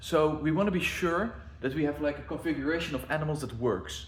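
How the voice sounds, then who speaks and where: Echo from the room can be heard. The pace of speaking is moderate. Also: man. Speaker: zoo planner and video creator. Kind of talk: casual walkthrough of zoo plans.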